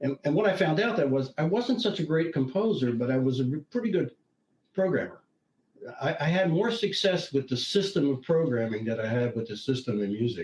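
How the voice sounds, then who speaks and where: A man talks at a fairly quick pace in a fairly high, somewhat breathy voice. His pitch swings very widely. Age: 70s. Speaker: retired IT consultant and professor, tech writer. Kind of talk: interview conversation. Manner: halting, with many restarts.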